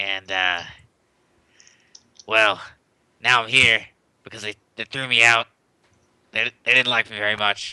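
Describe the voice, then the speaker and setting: A man's put-on character voice, broken by long, frequent pauses. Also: medium pitch for a man, moderate pace. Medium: actual play. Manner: hesitant, stammering.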